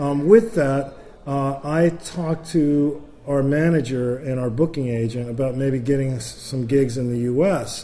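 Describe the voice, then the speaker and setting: With audible room echo and noticeable background noise, a man talks at a fairly high pitch with ordinary pitch variation. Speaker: jazz bassist. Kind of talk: interview. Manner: talkative, long-winded.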